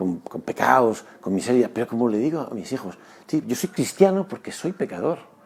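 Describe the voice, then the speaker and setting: Pitched at a medium level, a man's voice makes very wide pitch swings. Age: 60s. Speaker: former basketball player and sports doctor. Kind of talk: testimony. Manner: halting; earnest.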